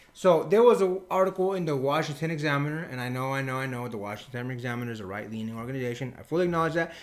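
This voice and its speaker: A man with a Spanish accent talks at a very fast pace with hardly any pauses, his fairly high voice animated in tone and lively in intonation. His loudness swings widely, and the room echo is audible. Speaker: podcast co-host. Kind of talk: casual opinion podcast talk. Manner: animated, emphatic.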